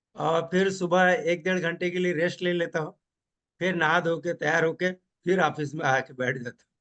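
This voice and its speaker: A man speaks in a high pitch. His intonation stays fairly even. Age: 70s. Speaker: technical trainer. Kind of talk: interview.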